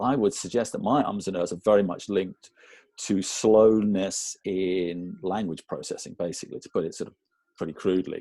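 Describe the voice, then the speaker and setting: Talking at a moderate pace, a man lets his volume rise and fall in big swings. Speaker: person who clutters. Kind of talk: interview testimony. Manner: many ums and ers, abnormal pauses.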